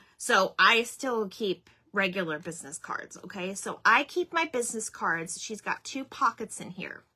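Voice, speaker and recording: A woman's fairly high, bright, sharp voice, animated in tone, with very wide pitch swings, big swings in loudness and a moderate pace. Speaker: craft channel host, small business owner. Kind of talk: casual livestream chat.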